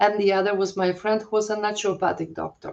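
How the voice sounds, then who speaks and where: In a Polish accent, a woman talks at a medium pitch with fairly even intonation. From Poland. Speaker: holistic health coach. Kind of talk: interview. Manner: halting, many fillers.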